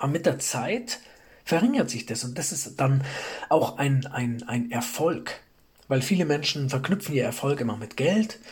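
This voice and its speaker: A man with a fairly high, somewhat breathy voice uses lively intonation at a fairly slow pace. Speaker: self-improvement podcast host. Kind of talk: motivational monologue. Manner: frequent pauses; repeats words, halting.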